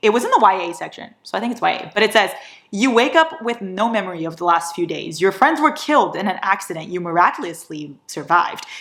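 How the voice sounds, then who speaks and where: A woman with a non-native accent and a medium pitch talks in an animated tone. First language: not English. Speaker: book vlogger. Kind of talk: casual vlog haul.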